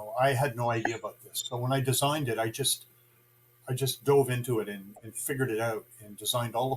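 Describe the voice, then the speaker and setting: A very fast male voice with a Canadian accent, medium pitch, somewhat breathy air and fairly even intonation. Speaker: guitar builder. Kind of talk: interview. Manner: halting.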